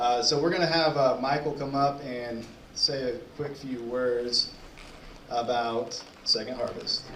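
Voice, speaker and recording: The speech comes at a fairly slow pace with fairly even intonation. Audible room echo and noticeable background noise surround it. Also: man, medium pitch for a man. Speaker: event emcee. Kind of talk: event hosting.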